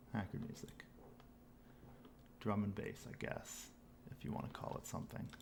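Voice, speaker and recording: A man at a moderate pace with long, frequent pauses and audible room echo. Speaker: game developer, technical director. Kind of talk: live coding stream. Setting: livestream. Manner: mumbling.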